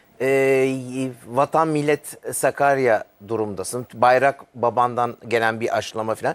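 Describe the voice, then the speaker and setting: On a very clean recording with a silent background and a dry, close sound with no echo, a man at a medium pitch talks at a very slow pace with fairly even intonation and hardly any pauses. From Germany, Düsseldorf; moved to Turkey as a teen. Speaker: TV interviewer. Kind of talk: casual interview chat.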